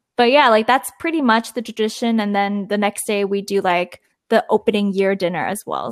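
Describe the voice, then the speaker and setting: Here is a woman with an ordinary speaking voice and a Canadian accent, at a medium pitch with ordinary pitch variation. She talks at a moderate pace in a dry, close sound with no echo. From Toronto, Canada. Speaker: podcast co-host. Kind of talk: casual chat.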